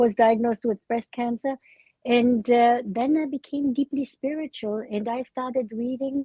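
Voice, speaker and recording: A woman's high-pitched voice with fairly even intonation at a moderate pace. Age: 80s+. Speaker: memoir author. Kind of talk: interview. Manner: halting, frequent uh fillers.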